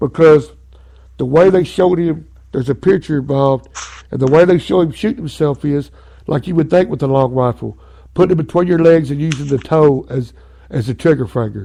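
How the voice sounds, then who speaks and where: A man with an Arkansas accent has a fairly high voice with a dark, mellow tone. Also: ordinary pitch variation, fairly quick pace. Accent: Southern US (Arkansas). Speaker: talk radio host. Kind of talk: podcast talk show, reading from a book and commenting. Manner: loud; animated.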